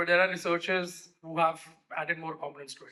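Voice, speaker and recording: The speaker is a man. He moves at a fairly quick pace. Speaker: conference speaker on voice AI. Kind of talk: conference talk.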